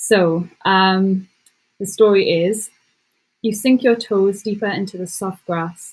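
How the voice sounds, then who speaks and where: Somewhat breathy, a woman speaks very slowly with an English accent. Her pitch is medium and her intonation fairly even. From England. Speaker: content writer. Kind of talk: casual chat; reading aloud.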